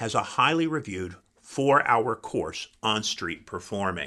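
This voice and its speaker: Here a man talks with a bright, sharp tone and lively intonation. His pitch sits fairly low. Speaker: podcast host. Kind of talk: interview, podcast.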